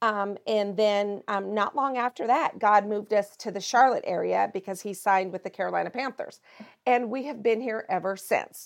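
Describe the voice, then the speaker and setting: A woman talks in a plain, everyday voice with an American accent. Her pace is moderate and her medium pitch shows ordinary variation. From Montana. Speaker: pastor. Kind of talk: interview.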